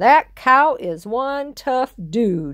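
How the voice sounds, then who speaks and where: Pitched high and with very wide pitch swings, a woman speaks in a put-on character voice. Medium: read story. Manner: folksy, repetitive.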